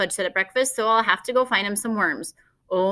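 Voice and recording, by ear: The background is quiet. A speaker is reading aloud in a natural voice with ordinary pitch variation.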